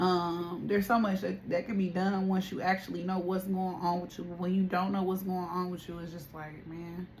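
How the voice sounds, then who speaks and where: A woman speaks in a monotone with flat intonation at a moderate pace. She hardly pauses, and her loudness swings widely. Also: medium pitch for a woman. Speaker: tarot reader. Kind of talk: spiritual reading and casual talk to viewers. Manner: quieter and calmer than usual; casual, repetitive phrasing.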